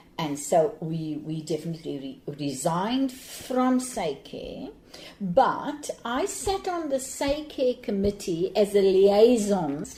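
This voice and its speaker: A woman at a medium pitch, very slow, with very wide pitch swings, big swings in loudness and noticeable background noise. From Cape Town, South Africa. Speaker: anti-apartheid activist, retired teacher. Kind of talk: interview answer.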